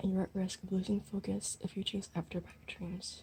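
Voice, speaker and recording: A soft-spoken woman at a fairly quick pace with monotone, flat intonation, music in the background. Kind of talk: tarot reading to camera, asmr-style.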